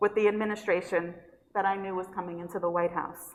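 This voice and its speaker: Audible room echo hangs around the speech. The woman's voice sits at a medium pitch. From New York. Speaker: pastor. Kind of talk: sermon.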